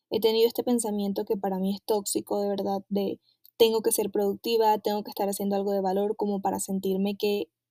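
This woman has a dark, mellow tone and monotone, flat intonation. She talks at a fairly quick pace in a dry, close sound with no echo. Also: medium pitch for a woman. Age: 20s. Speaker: podcast host. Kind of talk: personal reflection monologue.

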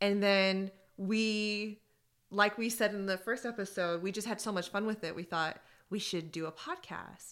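Her voice is a normal speaking voice, pitched in the medium range. This woman moves at a moderate pace with fairly even intonation. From US, raised in Iranian household. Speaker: podcast co-host. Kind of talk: casual chat.

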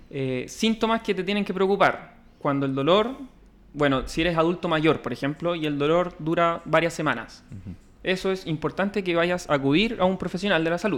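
Fairly quick pace with ordinary pitch variation. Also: man, high pitch for a man. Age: 20s. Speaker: physiotherapist. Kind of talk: casual interview.

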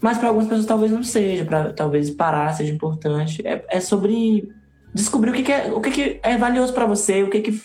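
There is audible room echo and noticeable background noise. A man speaks at a fairly quick pace in a high pitch. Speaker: singer and theater artist. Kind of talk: casual chat. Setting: live video stream.

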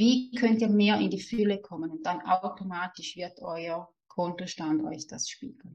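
Speaking in a Swiss German accent, a woman talks at a fairly slow pace with a medium pitch. Her intonation is lively and her loudness swings widely. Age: 30s. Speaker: money mindset and manifestation coach. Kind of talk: podcast interview.

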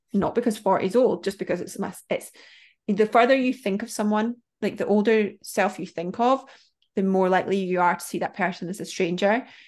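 In a plain, everyday voice, a woman of medium pitch speaks at a fairly quick pace with fairly even intonation over a quiet background. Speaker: business mentor. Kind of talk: casual chat.

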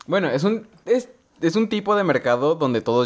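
With a Mexican accent, a man talks. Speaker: podcast co-host. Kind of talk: casual chat.

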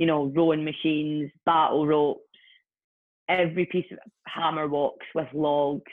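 In a Scottish accent, a woman with a very deep, low pitch speaks at a fairly slow pace with monotone, flat intonation. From Scotland, Ayr. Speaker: personal trainer and fitness entrepreneur. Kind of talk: casual interview chat.

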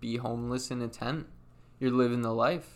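Speaking in monotone, flat intonation, a man with an American accent holds a medium pitch at a moderate pace. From Connecticut. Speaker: podcast guest. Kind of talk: casual chat.

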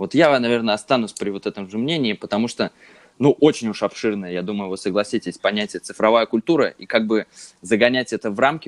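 An unremarkable speaking voice with ordinary pitch variation, dry and close with no echo. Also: man. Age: 20s. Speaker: podcast co-host, media graduate. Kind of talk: casual chat.

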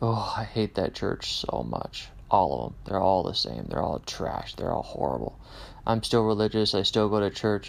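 A man with an American accent talks at a moderate pace. His fairly low voice carries vocal fry and lively intonation. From Kansas, US Midwest. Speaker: podcast host. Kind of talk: casual monologue. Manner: unscripted with many fillers.

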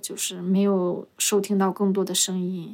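Noticeable background noise runs behind this woman's voice. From Northeast China, Jilin province. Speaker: street vendor and podcast host. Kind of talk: casual interview chat.

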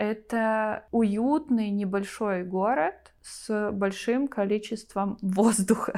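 A woman's dark, mellow tone, fairly high in pitch with ordinary variation, very slow yet with hardly any pauses, on a very clean recording with a silent background. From Belarus, Vitebsk region. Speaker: civic activist. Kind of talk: casual chat.

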